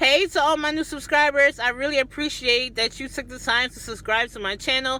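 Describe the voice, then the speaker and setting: A woman's raised, projected voice, high-pitched, at a fairly quick pace with fairly even intonation. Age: 30s. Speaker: YouTuber and chef. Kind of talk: cooking tutorial; casual vlog talk to camera.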